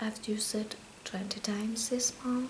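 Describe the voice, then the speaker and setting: A woman whispers, soft-spoken, at a very slow pace. Noticeable background noise runs underneath. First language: Spanish. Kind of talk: ASMR makeup talk. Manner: soft-spoken, whispered.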